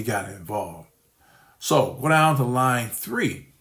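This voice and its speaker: A man speaks at a fairly slow pace and medium pitch. His pitch varies in an ordinary way, and the room echo is audible. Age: 60s. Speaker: scam victim and investor. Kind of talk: testimony. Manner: halting.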